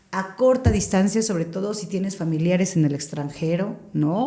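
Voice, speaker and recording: A woman's medium-pitched, somewhat breathy voice with a dark, mellow tone, ordinary pitch variation, a moderate pace and audible room echo. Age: 40s. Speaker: radio broadcaster. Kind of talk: podcast interview.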